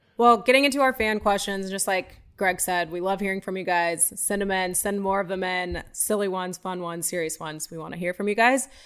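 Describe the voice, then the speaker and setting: A woman with a normal speaking voice, medium pitch and ordinary pitch variation, at a fairly quick pace with hardly any pauses, in a very clean recording over a silent background. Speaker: podcast co-host reading listener questions. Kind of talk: casual chat.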